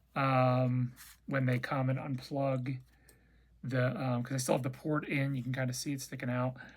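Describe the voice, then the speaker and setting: Somewhat breathy and monotone, the voice keeps a flat intonation at a moderate pace. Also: man, medium pitch for a man. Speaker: cancer patient vlogger. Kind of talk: casual chat. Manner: halting.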